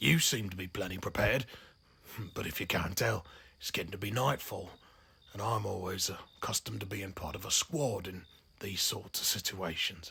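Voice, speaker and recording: In a raspy, put-on character voice, the speaker goes at a moderate pace with long, frequent pauses. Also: man, very deep, low pitch for a man. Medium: solo performance. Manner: rambling, hesitant, folksy.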